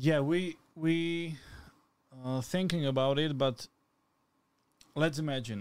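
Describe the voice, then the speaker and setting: A man with a Slovak accent speaks at a very slow pace, with long, frequent pauses. His pitch is fairly high, with ordinary pitch variation. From Slovakia. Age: 20s. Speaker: cameraman. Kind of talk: casual chat. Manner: halting.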